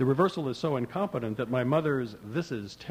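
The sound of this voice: This is an unforced reading voice. No other traits are noted.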